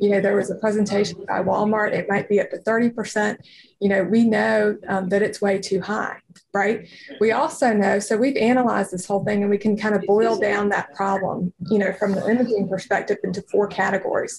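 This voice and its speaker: A woman's medium-pitched voice with an American accent, a fairly quick pace and flat, monotone intonation. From North Carolina. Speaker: radiologist and startup founder. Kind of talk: interview. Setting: studio.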